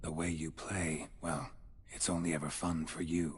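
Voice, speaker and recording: This put-on character voice has a very deep, low pitch and a moderate pace. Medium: video game. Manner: calm, dry, laconic.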